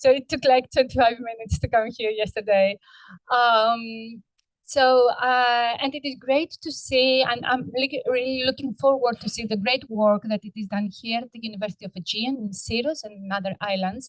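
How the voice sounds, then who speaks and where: In a Greek accent, a woman with a fairly high pitch speaks at a moderate pace, her loudness swinging widely, in a dry, close recording with no echo. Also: ordinary pitch variation. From Greece, Cyclades (Mykonos). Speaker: research scientist, keynote speaker. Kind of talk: conference keynote lecture. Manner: hesitant, many fillers.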